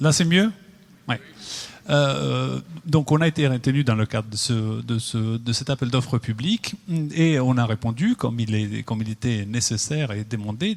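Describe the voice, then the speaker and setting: Speaking with an Italian accent, a man uses a medium pitch with ordinary pitch variation. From Italy. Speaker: architect. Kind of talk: public presentation. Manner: halting. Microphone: mic adjusted, sounds better.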